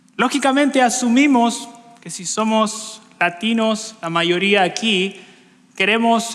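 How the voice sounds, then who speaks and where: A man with a high voice speaks very slowly, his pitch rising and falling in an ordinary way, over noticeable background noise and audible room echo. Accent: Chilean. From Chile. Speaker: preacher. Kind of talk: sermon. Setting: church.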